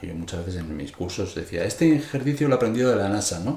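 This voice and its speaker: A man speaks at medium pitch, somewhat breathy, with lively intonation. The room echo is audible. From Spain, Madrid. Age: 60s. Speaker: music teacher and composer. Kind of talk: interview.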